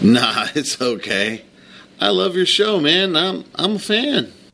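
A put-on character voice moves slowly with big pitch swings. The tone is bright and sharp, with vocal fry. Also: man, high pitch for a man.

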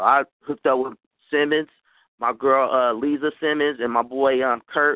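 A man with a normal speaking voice and an American accent talks at a moderate pace in a fairly high pitch. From Oakland, California. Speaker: rapper. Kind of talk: radio interview.

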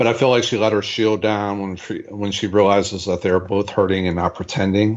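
A man speaks at a fairly quick pace in a fairly low pitch, with monotone, flat intonation and hardly any pauses. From Pittsburgh. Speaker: podcast co-host. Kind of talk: casual chat.

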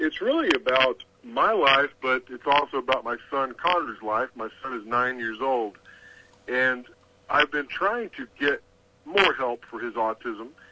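A man talks at a fairly slow pace in a Texan accent. His pitch sits in the medium range, with ordinary variation. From Texas. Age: middle-aged. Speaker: author. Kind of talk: interview.

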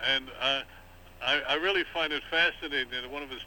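A man's fairly high voice at a moderate pace, with noticeable background noise. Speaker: veteran newspaper journalist. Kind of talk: political discussion. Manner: halting, many fillers.

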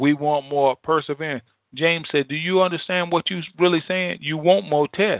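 Fairly even intonation in a dry, close sound with no echo. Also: man, fairly high pitch for a man, moderate pace.

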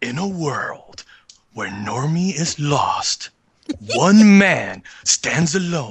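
In a put-on character voice of middle pitch, the speaker delivers a dramatic reading at a very slow pace with long, frequent pauses. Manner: dramatic, deep.

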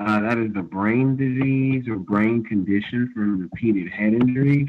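A man with a plain, everyday voice speaks at a fairly slow pace, his fairly low pitch showing ordinary variation. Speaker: caller. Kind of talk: call-in question.

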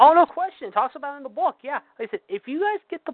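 A man talks with an American accent. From Pittsburgh, US. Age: 40s. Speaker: wrestling podcast co-host. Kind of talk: casual chat. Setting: phone call.

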